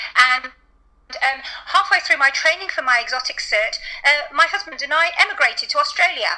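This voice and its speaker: Her voice raised and projected, a woman with a British accent speaks at a moderate pace at an extremely high pitch with very wide pitch swings. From England. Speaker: veterinarian. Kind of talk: interview.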